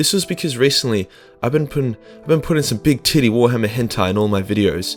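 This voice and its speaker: With music playing behind, the speaker has an Australian accent and lively intonation. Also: man. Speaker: YouTube lore narrator. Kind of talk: comedic lore explainer, profane. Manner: crude, casual, irreverent.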